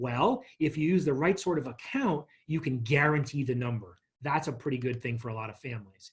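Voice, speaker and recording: A man with a fairly high pitch speaks at a fairly quick pace in a somewhat breathy voice. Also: ordinary pitch variation. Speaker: financial workshop presenter. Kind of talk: lecture. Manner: fast.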